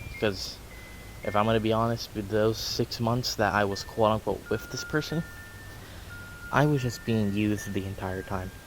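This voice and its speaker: A man with a fairly low pitch speaks at a moderate pace with ordinary pitch variation and long, frequent pauses, against noticeable background noise. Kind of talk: personal story told to camera. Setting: outdoors.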